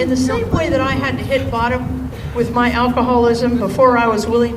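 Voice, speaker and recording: Her delivery is neither fast nor slow. Background noise is clearly audible behind her. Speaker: senior minister, spiritual leader. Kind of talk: rally speech. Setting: outdoors rally with crowd responding.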